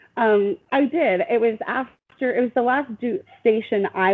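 A woman talks with very wide pitch swings. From Wyoming. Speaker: navy veteran. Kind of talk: casual chat.

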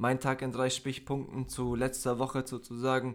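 A man speaks at a medium pitch. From Bavaria, Germany. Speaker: podcast co-host. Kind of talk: casual chat.

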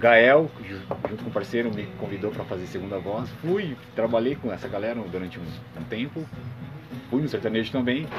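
A medium-pitched man at a fairly quick pace with long, frequent pauses and ordinary pitch variation, amid noticeable background noise and audible room echo. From São Paulo state, Brazil (Santo André, ABC Paulista). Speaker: musician and music producer. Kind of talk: casual interview. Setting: at home.

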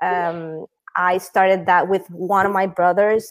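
Her pace fairly slow, a woman speaks with a Spanish accent. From Venezuela. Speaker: startup founder. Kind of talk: interview.

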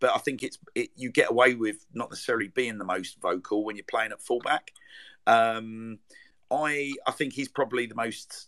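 Bright and sharp in tone, a man with an English accent talks at a medium pitch and a moderate pace, his intonation fairly even. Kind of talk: casual live chat. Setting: live online audio room.

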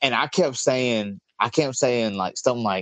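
Speaking at a fairly slow pace, a man with a Southern US accent uses a medium pitch and ordinary pitch variation. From Mississippi (Meridian, Picayune). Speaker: comedian and combat veteran. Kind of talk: casual chat.

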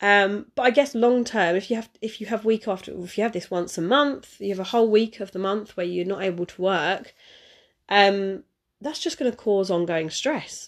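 At a moderate pace, a woman speaks at medium pitch with ordinary pitch variation.

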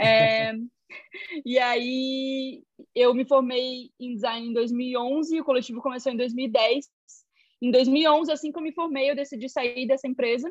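A woman speaks in a high pitch. Her pace is fairly slow. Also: fairly even intonation. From Joinville, Santa Catarina, Brazil. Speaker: illustrator and visual artist. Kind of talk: casual interview.

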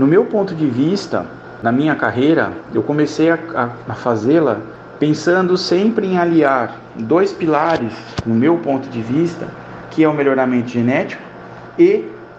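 A man's fairly high voice at a fairly slow pace, over noticeable background noise. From São Paulo state, Brazil. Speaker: animal scientist. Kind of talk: radio interview.

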